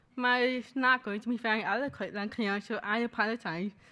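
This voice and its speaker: A woman speaks at a fairly quick pace in a high, bright and sharp voice with fairly even intonation, on a very clean recording with a silent background. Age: 20s. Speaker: graduate student speaker. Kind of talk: personal testimony speech. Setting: library event with audience. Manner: fast.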